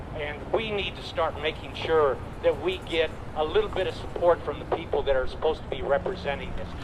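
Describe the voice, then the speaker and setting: In an American accent with ordinary pitch variation, the voice comes through audible room echo and noticeable background noise. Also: man, fairly high pitch for a man. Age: 70s. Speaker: Vietnam war veteran, activist speaker. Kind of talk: rally speech. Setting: outdoor rally in front of city hall. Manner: impassioned.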